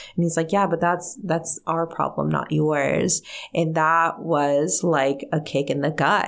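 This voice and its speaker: A woman with fairly low pitch, vocal fry, and ordinary pitch variation, at a fairly slow pace and very even loudness, on a very clean recording with a silent background. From Mexico (Guadalajara), raised in US from age six. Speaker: energy medicine practitioner and leadership coach. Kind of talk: interview. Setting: radio studio.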